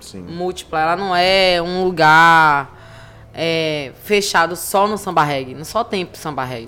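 The pace is fairly slow. The pitch varies in an ordinary way. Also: woman. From Recife, Pernambuco, Brazil. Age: 30s. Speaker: cultural producer and activist. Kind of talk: podcast interview. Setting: recorded at a literary festival. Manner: animated.

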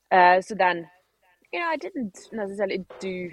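A woman talks at a moderate pace with fairly even intonation, in a dry, close sound with no echo. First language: not English. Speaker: CrossFit athlete. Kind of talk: interview. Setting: video call.

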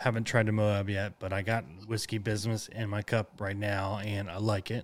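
Here a man talks with an American accent and a normal speaking voice. His pitch sits fairly low. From Oklahoma (Enid). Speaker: podcast host, veteran. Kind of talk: casual interview.

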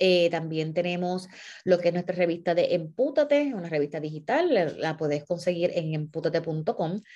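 A woman with a dark, mellow tone speaks at a moderate pace over a quiet background, her pitch fairly low with ordinary variation. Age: 40s. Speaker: nonprofit founder and former teacher. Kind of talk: monologue to followers. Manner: halting.

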